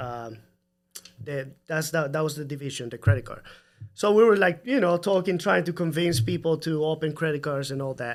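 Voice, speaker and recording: A man speaks at a fairly high pitch in a Salvadoran accent. His loudness swings widely. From El Salvador. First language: Spanish. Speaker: home builder. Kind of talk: casual chat.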